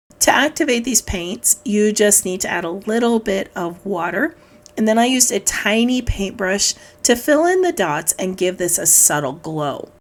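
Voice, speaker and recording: Music in the background behind a woman at medium pitch, with very wide pitch swings and a moderate pace. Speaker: scrapbooking crafter, video host. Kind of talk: tutorial voiceover narration. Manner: calm, measured.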